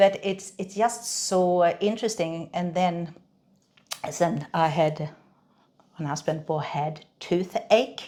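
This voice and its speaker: In a slight Swedish accent, a woman with a dark, mellow tone and a fairly low pitch speaks at a very slow pace, leaving long, frequent pauses. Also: ordinary pitch variation. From Sweden. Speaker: reflexologist. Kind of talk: interview. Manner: halting, many fillers and repeats.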